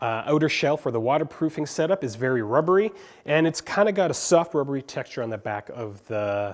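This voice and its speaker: A plain, everyday voice from a man, fairly high in pitch with lively intonation and a fairly quick pace, on a very clean recording with a silent background. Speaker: tech reviewer. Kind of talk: product review.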